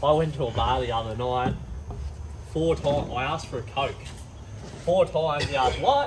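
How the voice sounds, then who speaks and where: Amid noticeable background noise and audible room echo, a man with a fairly high pitch talks at a fairly quick pace, stopping for long, frequent pauses. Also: ordinary pitch variation. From Australia. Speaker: truck driver. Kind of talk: casual chat.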